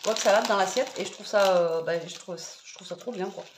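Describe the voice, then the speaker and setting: Amid noticeable background noise and audible room echo, a woman speaks with ordinary pitch variation. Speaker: lifestyle vlogger. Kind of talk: casual cooking vlog. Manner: hesitant, many fillers.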